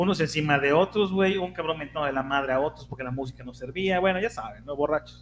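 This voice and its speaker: A man with a fairly high pitch talks at a very fast pace, his pitch varying normally and hardly pausing at all. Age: 40s. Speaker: podcast co-host. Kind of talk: casual chat.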